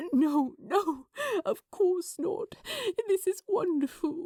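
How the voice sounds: In a dry, close sound with no echo, a woman uses a croaky put-on character voice at an extremely high pitch and a very slow pace.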